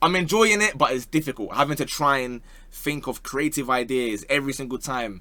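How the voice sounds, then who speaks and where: Speaking with a London accent, a man uses a fairly high pitch and a bright, sharp tone at a fairly quick pace. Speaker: football YouTuber. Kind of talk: casual Q&A chat.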